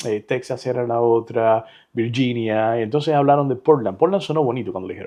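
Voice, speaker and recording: A man with a Cuban accent speaks at a fairly quick pace, his medium pitch showing ordinary variation. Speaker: real estate agent and entrepreneur. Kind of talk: interview conversation.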